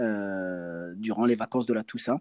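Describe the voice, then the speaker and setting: A man's dark, mellow voice in a dry, close sound with no echo. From France, Angers (Maine-et-Loire). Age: 30s. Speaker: breakdancer and entrepreneur. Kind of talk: interview. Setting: remote recording.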